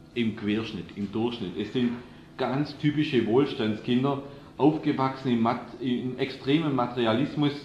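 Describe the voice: A man talks at a moderate pace with a medium pitch and ordinary pitch variation, pausing only a few times. His tone is slightly mellow, and audible room echo surrounds it.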